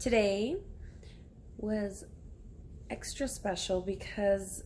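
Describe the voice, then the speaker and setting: Audible room echo colors this clip. A woman speaks very slowly. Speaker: bilingual first grade teacher. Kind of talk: casual vlog chat. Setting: at home on her couch. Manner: casual, rambling.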